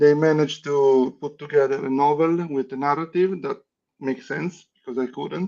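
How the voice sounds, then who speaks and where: A man with a non-native accent, fairly high in pitch, at a moderate pace and with fairly even intonation. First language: not English. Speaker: playing card designer. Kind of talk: interview. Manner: halting, with many restarts.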